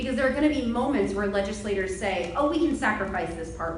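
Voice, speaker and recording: With ordinary pitch variation, a woman talks amid noticeable background noise and audible room echo. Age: 30s. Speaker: congressional candidate. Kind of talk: debate closing statement. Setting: stage with audience. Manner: impassioned.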